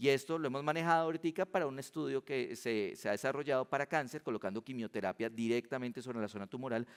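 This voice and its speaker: Very fast, lively speech from a man at medium pitch, dry and close with no echo, on a very clean recording with a silent background. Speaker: physician giving a conference talk. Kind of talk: conference lecture.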